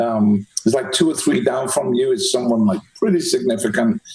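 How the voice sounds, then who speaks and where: A man with a Manchester accent speaks at a fairly quick pace. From England, Manchester. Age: 60s. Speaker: podcast host. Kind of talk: interview.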